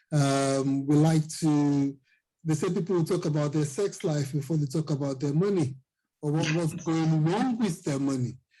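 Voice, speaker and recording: With a Nigerian accent, a man speaks at a moderate pace in a fairly high pitch and a dark, mellow tone, with ordinary pitch variation and very even loudness. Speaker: financial coach. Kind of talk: interview.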